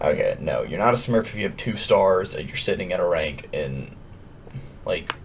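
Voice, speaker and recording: A man keeps a moderate pace despite noticeable background noise. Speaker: gaming youtuber. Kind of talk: casual rant to camera.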